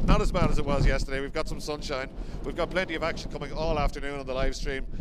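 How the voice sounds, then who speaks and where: Loud background noise fills the recording. Over it, a man talks very fast. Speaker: race commentator presenter. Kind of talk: commentary. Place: open country. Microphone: handheld.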